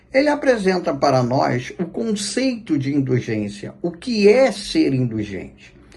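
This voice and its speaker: His dark, mellow voice swings very widely in pitch as this man speaks. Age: 60s. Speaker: spiritist lecturer. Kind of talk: religious talk. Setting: spiritist center.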